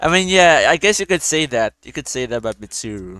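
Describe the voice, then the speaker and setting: A man with a non-native accent speaks in an animated tone with lively intonation, the sound dry and close with no echo. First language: not English. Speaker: gaming streamer. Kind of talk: casual gameplay commentary. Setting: live stream with friends.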